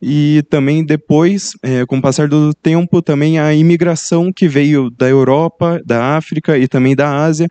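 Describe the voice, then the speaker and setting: A man with a Brazilian accent speaks in a dark, mellow tone with fairly even intonation, the sound dry and close with no echo. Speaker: student researcher presenting a poster. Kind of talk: conference presentation. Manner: halting, many fillers.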